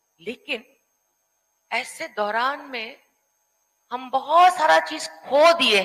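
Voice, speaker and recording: A woman with a non-native accent speaks at a high pitch in a raised, projected voice. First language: not Hindi (speaking Hindi). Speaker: panel speaker. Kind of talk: panel discussion. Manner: halting.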